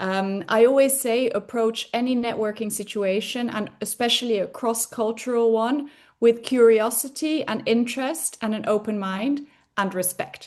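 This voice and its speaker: A woman's fairly high voice with a Dutch accent and ordinary pitch variation. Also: moderate pace. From Spain. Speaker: career coach and lecturer. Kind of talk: interview.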